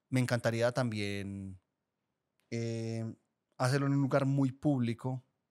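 A man speaks with an Antioquian accent and fairly even intonation. His pace is very slow, with long, frequent pauses against a quiet background. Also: medium pitch for a man. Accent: Colombian paisa (Antioquia). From Colombia, Guatapé (Antioquia); Antioquia, Colombia. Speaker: podcast producer. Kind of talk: casual chat. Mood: open, relaxed, confessional. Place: studio. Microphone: studio mic.

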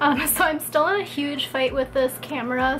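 Light background noise accompanies fairly even intonation. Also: woman. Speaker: lifestyle vlogger. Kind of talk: casual vlog chat. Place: home room. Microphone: camera far.

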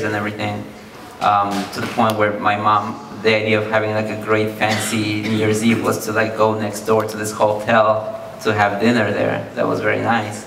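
Faint music plays in the background as a man speaks with a fairly low pitch and audible room echo. His intonation is monotone and flat, at a moderate pace. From South America. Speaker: audience member. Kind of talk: audience question. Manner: halting. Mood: reflective, nostalgic. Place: hall. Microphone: handheld.

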